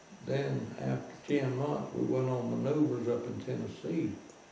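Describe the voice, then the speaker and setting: Against noticeable background noise, a man talks very slowly. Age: 80s+. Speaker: WWII veteran, former POW. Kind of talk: interview answer, storytelling. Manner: chatty, folksy.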